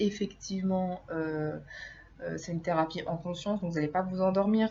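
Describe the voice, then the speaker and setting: A woman talks at a fairly quick pace with a medium pitch. Her voice is somewhat breathy and her intonation fairly even. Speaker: hypnotherapist. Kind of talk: informal video lecture. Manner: hesitant, many filler sounds.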